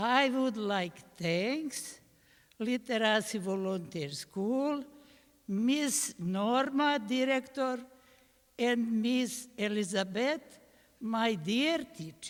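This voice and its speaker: In a Bosnian accent, a woman with a fairly high pitch speaks at a very slow pace with lively intonation. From Bosnia, Sarajevo. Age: old. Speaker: adult literacy student. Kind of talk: thank-you speech. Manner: halting.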